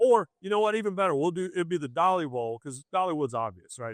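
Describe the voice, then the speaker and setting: A man with a Southern accent talks at a very fast pace with lively intonation, and the sound is dry and close with no echo. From US South. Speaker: sports journalist. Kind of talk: podcast interview. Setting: live event. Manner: animated.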